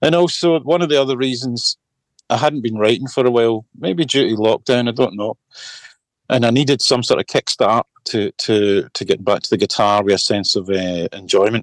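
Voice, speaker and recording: A man speaks at medium pitch and a moderate pace, with ordinary pitch variation. The sound is dry and close with no echo, on a very clean recording with a silent background. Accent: Scottish. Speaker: singer-songwriter and guitarist. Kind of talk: casual chat.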